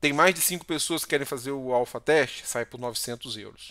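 A man's bright, sharp tone at a fairly slow pace, with ordinary pitch variation over a quiet background. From Brazil. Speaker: Brazilian doctor and YouTuber. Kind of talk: tutorial. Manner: casual, frequent filler words. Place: home room. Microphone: headset.

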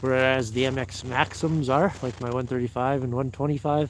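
A man at medium pitch and moderate pace, with fairly even intonation

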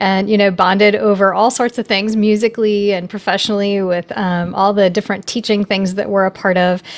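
At a fairly quick pace, a woman speaks with monotone, flat intonation. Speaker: podcast host and piano teacher. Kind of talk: casual interview. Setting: remote call. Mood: warm, friendly. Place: home room. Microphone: studio mic.

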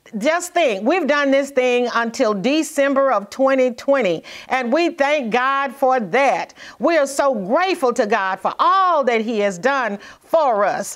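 Against a quiet background, the speaker goes at a fairly slow pace. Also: woman, high pitch for a woman, lively intonation. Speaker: minister. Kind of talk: sermon. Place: studio.

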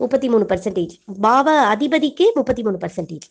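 With lively intonation and a fairly high pitch, a woman talks in a normal speaking voice. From Tamil Nadu, Coimbatore. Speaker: astrologer, debate judge. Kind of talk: lecture.

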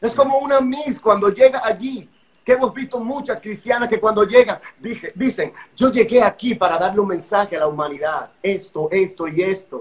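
A man speaks at a moderate pace and a high pitch. His intonation is lively. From Dominican Republic, San Pedro de Macorís; Dominican Republic. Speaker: pastor. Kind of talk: testimony. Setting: Instagram live video call.

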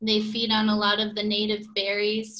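A woman's bright, sharp tone at a fairly slow pace. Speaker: birding guide; presenter. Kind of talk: slide presentation. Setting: video call. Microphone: video call.

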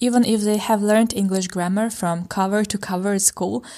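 A woman's normal speaking voice at medium pitch and a moderate pace, with ordinary pitch variation, in a very clean recording with a silent background. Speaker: language teacher. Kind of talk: language lesson.

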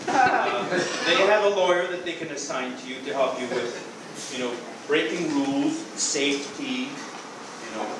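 The speech moves at a fairly slow pace with ordinary pitch variation. Audible room echo and noticeable background noise are present. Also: man. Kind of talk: improvised comedy dialogue. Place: hall. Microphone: camera far.

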